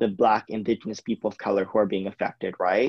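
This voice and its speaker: In an American accent, a man talks at a very fast pace in a fairly low pitch with monotone, flat intonation. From US West Coast. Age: 20s. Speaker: climate activist. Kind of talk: interview.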